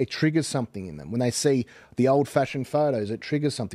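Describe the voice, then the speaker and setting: A man with an Australian accent talks at a very fast pace, his tone dark and mellow. The sound is dry with no echo, the background quiet, and his pitch variation ordinary. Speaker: podcast host or commentator. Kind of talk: casual chat. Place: studio. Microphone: studio mic.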